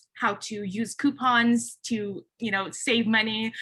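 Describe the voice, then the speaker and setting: In a Californian accent, a woman talks at a fairly high pitch with a bright, sharp tone. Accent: Californian American English. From Philippines, raised in the San Francisco Bay Area from age seven. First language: a Philippine language (English is her third language). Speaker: recruiting manager, panelist. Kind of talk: panel discussion. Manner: casual, with frequent fillers.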